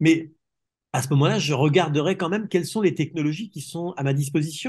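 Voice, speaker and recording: There is little sound in the background. A man speaks fairly quickly. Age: 60s. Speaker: telecare industry expert. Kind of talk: interview. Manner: hesitant, many fillers and repetitions.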